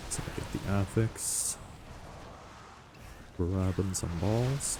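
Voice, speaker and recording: A man speaks very slowly in a very deep, low voice that is somewhat breathy, with a dark, mellow tone and ordinary pitch variation. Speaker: gaming video creator. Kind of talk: gameplay commentary. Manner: casual with fillers.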